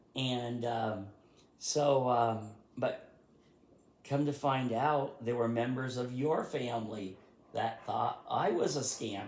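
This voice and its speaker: A man with an American accent speaks very slowly at a medium pitch, with fairly even intonation and long, frequent pauses. Audible room echo surrounds his voice. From rural Vermont, US. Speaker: YouTuber, history writer. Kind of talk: casual chat. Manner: halting, many fillers.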